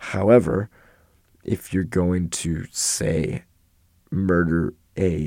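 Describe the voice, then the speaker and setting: Very deep and low, this man's voice carries vocal fry and a dark, mellow tone with ordinary pitch variation. The recording is very clean, with a silent background. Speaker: podcast host. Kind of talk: solo educational monologue on philosophy. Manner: casual, conversational.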